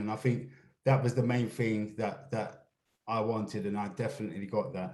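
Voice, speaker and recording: A man speaks fairly quickly in a somewhat breathy voice with a dark, mellow tone and monotone, flat intonation. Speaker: stop and search campaign staff. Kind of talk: panel discussion. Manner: uses slang, hard to tone down.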